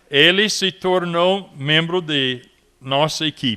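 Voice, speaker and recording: This man, with an English accent, talks at a very slow pace in a high pitch with ordinary pitch variation. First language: English (speaking Portuguese). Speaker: missionary. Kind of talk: commemorative speech. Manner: halting.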